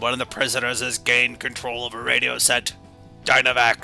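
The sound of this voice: A man does a put-on character voice with clear music in the background. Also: medium pitch for a man, fairly quick pace.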